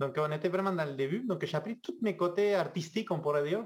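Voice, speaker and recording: A man talks with ordinary pitch variation. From Argentina. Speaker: video game 3D artist. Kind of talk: casual interview chat.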